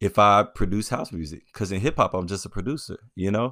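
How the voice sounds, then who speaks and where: A man with an American accent talks in a normal speaking voice, fairly low in pitch with ordinary pitch variation. The recording is very clean, with a silent background. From US South, Memphis, Tennessee. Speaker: DJ and house music producer. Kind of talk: casual chat.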